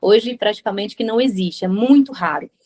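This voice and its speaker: A woman's fairly quick speech with ordinary pitch variation, an unremarkable speaking voice. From Brazil. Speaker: radio presenter. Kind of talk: interview answer.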